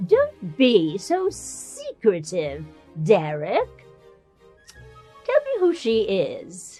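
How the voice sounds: A female-sounding put-on character voice speaks very slowly in an English accent, with long, frequent pauses. Faint music plays in the background.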